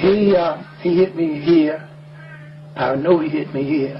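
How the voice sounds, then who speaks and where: A man's fairly high-pitched voice at a fairly slow pace, with music in the background. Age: 70s. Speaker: transit station manager. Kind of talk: news interview answer.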